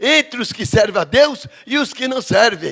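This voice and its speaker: The speaker is a man. His pitch is extremely high. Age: 70s. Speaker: pastor. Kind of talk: sermon.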